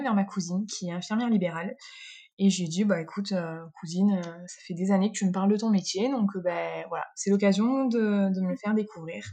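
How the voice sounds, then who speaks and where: This woman's voice has a dark, mellow tone, medium pitch and a somewhat breathy quality, with fairly even intonation at a moderate pace. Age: 30s. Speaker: nurse. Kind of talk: interview. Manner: hesitant, many fillers.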